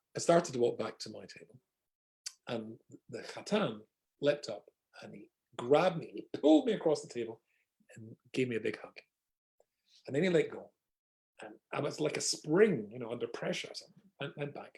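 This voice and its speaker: A man with a Scottish accent speaks at a moderate pace with long, frequent pauses. His loudness swings widely. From Scotland. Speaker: rabbi. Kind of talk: humorous storytelling in an online talk. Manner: humorous.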